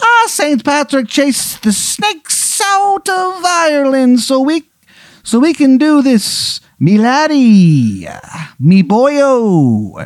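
A man speaks in a put-on character voice at an extremely high pitch. His pace is very slow. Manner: jovial, slurred, comic.

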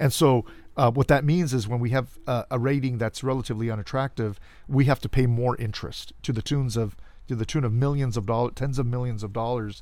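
An American man talks at a fairly quick pace in an ordinary speaking voice, pitched at a medium level with ordinary pitch variation. The recording is very clean, with a silent background. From Los Angeles, California (Cudahy). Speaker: political candidate. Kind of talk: interview. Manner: formal.

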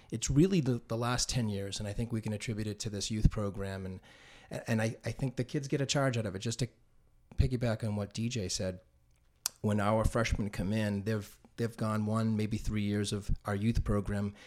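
In a normal speaking voice with an American accent, a man with a fairly low pitch talks at a moderate pace with fairly even intonation, on a very clean recording with a silent background. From Massachusetts, North Andover. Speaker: track coach. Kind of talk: casual chat.

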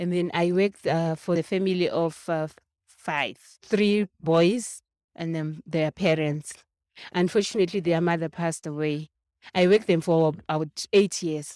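A woman talks at a moderate pace and fairly low pitch, with fairly even intonation and a dark, mellow tone. The recording is very clean with a silent background and a dry, close sound with no echo. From Zimbabwe. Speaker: domestic worker and organizer. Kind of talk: interview. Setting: shopping center.

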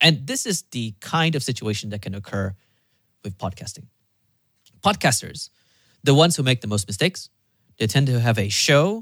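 A man talks at a moderate pace with very wide pitch swings and long, frequent pauses. The sound is dry and close with no echo, in a very clean recording with a silent background. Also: medium pitch for a man. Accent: Malaysian. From Malaysia. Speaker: podcast producer and host. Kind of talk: casual chat.

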